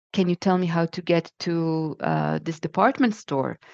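A woman with an Israeli accent, fairly low in pitch, at a moderate pace with ordinary pitch variation, in a dry, close sound with no echo against a quiet background. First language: Hebrew. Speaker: podcast guest. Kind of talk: casual interview. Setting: remote call.

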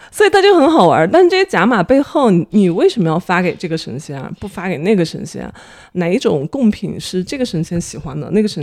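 The speaker is a woman with a fairly quick delivery. Her pitch rises and falls very widely. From Dali, Yunnan (Xizhou). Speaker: market researcher, former journalist. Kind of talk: casual chat. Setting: at home.

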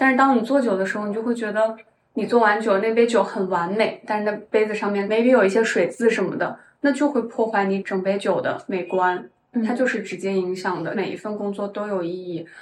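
This woman has a plain, everyday voice, pitched fairly high with ordinary pitch variation. She talks at a fairly quick pace. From Shanxi, northern China. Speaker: tech worker, part-time counselor, ex-bartender. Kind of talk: casual interview chat. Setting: in-person recording in Shanghai.

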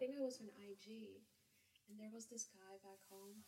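A somewhat breathy quality marks the voice. Its tone is dark and mellow. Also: woman. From Kazakhstan. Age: 20s. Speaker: English tutor. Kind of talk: casual chat. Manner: laughs often.

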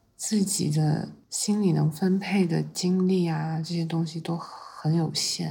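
A woman's relaxed, somewhat breathy voice, dark and mellow in tone, with fairly even intonation. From China, Yunxiao county, Fujian. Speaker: investing podcast host. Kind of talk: casual chat. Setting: at her home, after lunch nap. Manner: relaxed, lazy; frequent laughter.

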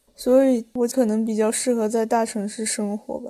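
Delivered at a moderate pace, the speech has a dark, mellow tone and flat, monotone intonation. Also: woman. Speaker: podcast co-host. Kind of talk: casual chat.

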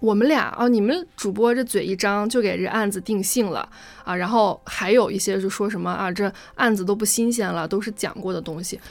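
It is an ordinary speaking voice with ordinary pitch variation. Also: woman, medium pitch for a woman, fairly quick pace. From Gansu, Tianshui. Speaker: podcast co-host. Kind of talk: casual chat.

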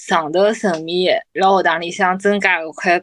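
A woman's medium-pitched voice in a Shanghainese accent, at a fairly slow pace. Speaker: podcast co-host. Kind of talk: casual chat.

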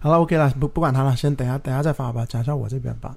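A man's fairly high voice has a dark, mellow tone and sounds somewhat breathy. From Guangzhou, southern China. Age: 30s. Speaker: real estate podcast host and agent. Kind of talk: casual chat.

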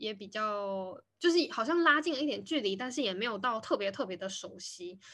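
At a moderate pace, a woman speaks with a bright, sharp tone and a fairly high pitch. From Taiwan. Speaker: podcast host. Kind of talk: casual chat. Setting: video call recording.

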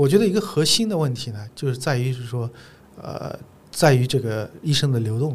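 A man with an ordinary speaking voice talks in a medium pitch with lively intonation. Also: fairly quick pace. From China, Zhejiang. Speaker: gynecologist. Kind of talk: casual interview conversation.

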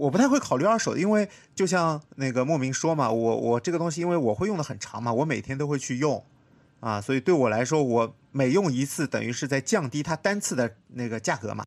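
Speaking at a fairly quick pace, a man uses lively intonation and a fairly high pitch. He has a normal speaking voice, and the recording is very clean with a silent background. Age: 30s. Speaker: podcast host, designer. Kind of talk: casual chat.

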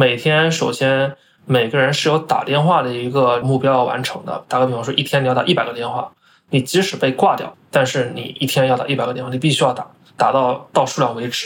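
In a normal speaking voice, a man talks at medium pitch and a fairly quick pace with fairly even intonation. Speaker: finance professional. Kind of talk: interview.

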